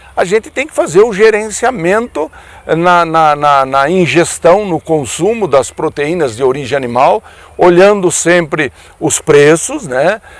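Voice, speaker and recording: This man's voice is high in pitch, with lively intonation. He speaks at a fairly slow pace. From Brazil, Paraná state. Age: 60s. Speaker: veterinarian and former politician. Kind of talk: radio commentary.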